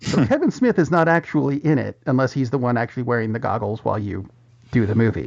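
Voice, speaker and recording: A man talks at a very fast pace with lively intonation. His medium-pitched voice has vocal fry. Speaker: movie news podcast host. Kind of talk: casual chat.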